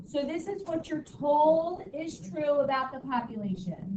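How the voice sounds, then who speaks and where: A loud, high-pitched woman's voice with lively intonation. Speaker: high school statistics teacher. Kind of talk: classroom lecture. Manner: casual, filler-heavy.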